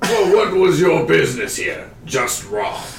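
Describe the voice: A man uses a put-on character voice that is raspy and high-pitched, at a fairly slow pace. Clear background noise and a slight echo are present.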